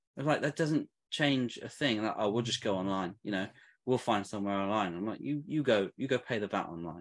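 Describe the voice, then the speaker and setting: Against a quiet background, a man with a British accent talks at a fairly quick pace in a fairly low voice with lively intonation. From England. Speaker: t-shirt brand owner. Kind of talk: casual chat.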